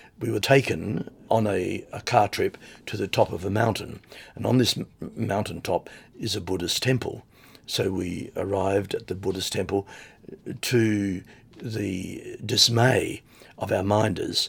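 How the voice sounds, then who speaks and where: In a very clean recording with a silent background, a man with an Australian accent speaks at a fairly slow pace, taking long, frequent pauses. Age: 70s. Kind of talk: interview testimony. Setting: recorded on location while host travels.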